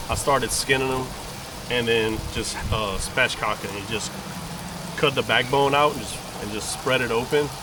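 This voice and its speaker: Speaking in a Cajun accent, a man has a relaxed tone and a medium pitch with ordinary pitch variation. He keeps a moderate pace over noticeable background noise. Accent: Cajun Louisiana English. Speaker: cooking vlogger and hunter. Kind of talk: cooking tutorial. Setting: outdoors at a campground. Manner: casual, relaxed.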